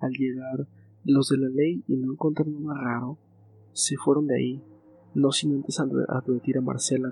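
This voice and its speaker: A man's medium-pitched voice with fairly even intonation, music in the background. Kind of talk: ghost story narration, hushed bedtime storytelling read aloud to help listeners relax.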